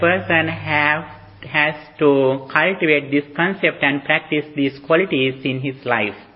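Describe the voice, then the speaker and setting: Noticeable background noise is present. The man's pitch sits fairly high. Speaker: Buddhist monk teacher. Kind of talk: dharma talk. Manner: halting.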